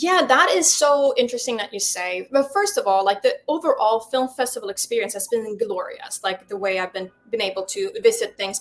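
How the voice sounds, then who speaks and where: A woman with a Swedish accent speaks at a fairly high pitch and a fairly quick pace, her pitch swinging very widely over noticeable background noise. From Sweden. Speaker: film festival founder and filmmaker. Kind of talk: interview. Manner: halting.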